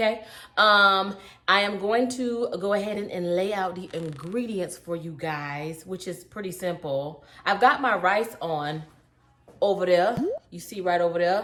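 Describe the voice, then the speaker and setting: Animated and bright with a sharp edge, a woman with an American accent speaks with ordinary pitch variation amid audible room echo. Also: medium pitch for a woman, fairly slow pace, big swings in loudness. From US South. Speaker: cooking youtuber. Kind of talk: cooking tutorial. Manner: animated, chatty.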